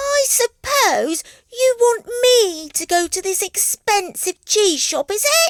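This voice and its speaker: A put-on character voice, squeaky, at a fairly slow pace. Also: woman, extremely high pitch for a woman. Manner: nervous.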